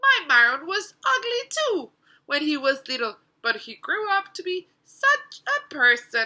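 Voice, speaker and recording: Putting on a squeaky character voice with a warm tone, a woman speaks at a high pitch and a fairly slow pace, her pitch swinging very widely and her loudness in big swings. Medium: read story. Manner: warm, storytelling.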